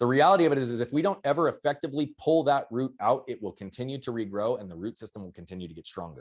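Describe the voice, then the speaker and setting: A man with vocal fry talks at a very fast pace and medium pitch, his pitch swinging very widely. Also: very clean recording, silent background. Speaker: mindset and performance coach. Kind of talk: podcast interview. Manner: loud.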